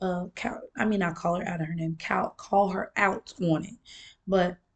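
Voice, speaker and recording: A woman's somewhat breathy voice proceeds at a moderate speed. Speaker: vlogger. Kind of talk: casual monologue vlog.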